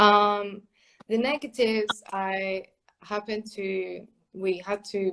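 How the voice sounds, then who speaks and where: A woman talks with a Spanish accent. Her pitch is medium. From Spain. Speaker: clarinetist and music teacher. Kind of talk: interview. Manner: hesitant, many fillers.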